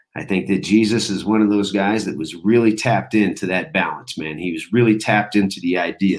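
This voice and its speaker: A man with an unremarkable speaking voice talks in a fairly low pitch with ordinary pitch variation. He moves at a fairly quick pace with hardly any pauses. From United States, moved around (Texas, Florida, California). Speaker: military veteran, former Army Ranger and Air Force pararescue. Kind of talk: casual interview chat.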